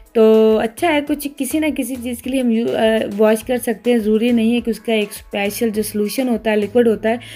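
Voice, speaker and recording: Music plays behind a woman speaking at a moderate pace with hardly any pauses. Her pitch is fairly high and her intonation fairly even. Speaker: mom vlogger. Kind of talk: casual vlog narration.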